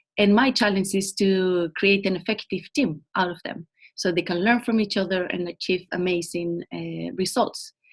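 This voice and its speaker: At a moderate pace, a woman speaks at medium pitch with fairly even intonation. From Spain. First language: Spanish. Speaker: program manager. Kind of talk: webinar presentation.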